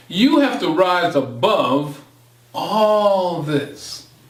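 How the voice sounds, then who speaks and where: A man with a high pitch talks at a very slow pace with very wide pitch swings, with audible room echo and noticeable background noise. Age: 60s. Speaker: motivational speaker. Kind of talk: monologue presentation. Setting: home studio. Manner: impassioned.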